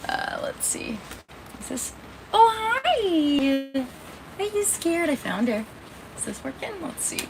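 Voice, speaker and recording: A woman's extremely high voice with an American accent, very slow and full of long, frequent pauses, with very wide pitch swings, big swings in loudness and noticeable background noise. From Indiana. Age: 30s. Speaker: livestreamer. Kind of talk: casual live stream chat. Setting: in a camper trailer during a thunderstorm.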